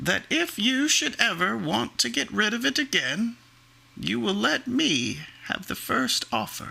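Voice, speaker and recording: Using a put-on character voice, a man speaks at a fairly slow pace in a high pitch. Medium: read story. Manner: sly, ingratiating.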